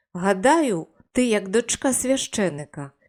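With a quiet background, the plain reading aloud carries lively intonation.

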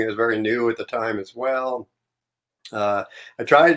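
A man talks fairly quickly, his intonation fairly even, with a quiet background behind him. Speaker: remote guest. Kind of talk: interview answer. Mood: relaxed, reflective. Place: home room.

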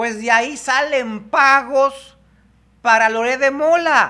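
Speaking slowly, a man uses an extremely high pitch and a bright, sharp tone with fairly even intonation.

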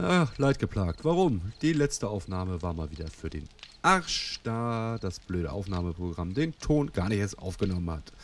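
At a moderate pace, a man with a very deep, low pitch swings his pitch very widely, with a dry sound, no echo, and light background noise. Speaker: let's play gamer; gamer. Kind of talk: casual gameplay commentary. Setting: home recording, muffled microphone.

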